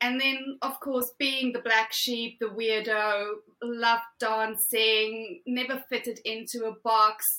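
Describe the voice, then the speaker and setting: A woman with a South African accent speaks at a very slow pace in a bright, sharp tone, her intonation fairly even. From South Africa, Afrikaans household. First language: Afrikaans. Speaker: podcast guest. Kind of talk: interview conversation.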